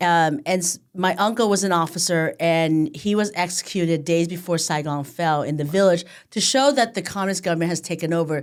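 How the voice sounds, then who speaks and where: In a very clean recording with a silent background, a woman speaks with a Vietnamese accent and a fairly low pitch. She moves at a fairly quick pace with hardly any pauses and ordinary pitch variation. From Southern California, came from Vietnam at age five. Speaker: county supervisor, politician. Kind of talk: interview conversation.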